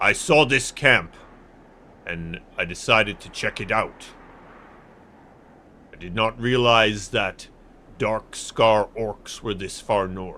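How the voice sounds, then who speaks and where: Putting on a gruff character voice, a man speaks at a fairly low pitch and fairly slow pace with long, frequent pauses. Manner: gruff, tough.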